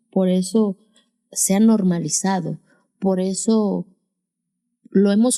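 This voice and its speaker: With an Oaxacan accent, a woman speaks at a medium pitch in a dark, mellow tone. Her intonation stays fairly even. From Mexico, Sierra Sur of Oaxaca. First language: Zapotec (speaking Spanish). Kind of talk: interview testimony.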